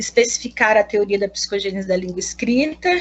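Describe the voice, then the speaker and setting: The woman's voice is somewhat breathy, and her delivery moves at a moderate pace. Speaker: pedagogy student. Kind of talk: thesis defense presentation. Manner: halting.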